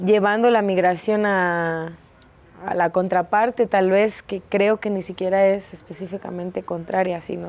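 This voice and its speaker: A woman's fairly slow speech carries fairly even intonation. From Escobedo, Nuevo León, northeast Mexico. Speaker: performer, dancer and theatre teacher. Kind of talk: interview answer. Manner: casual, colloquial. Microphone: lapel.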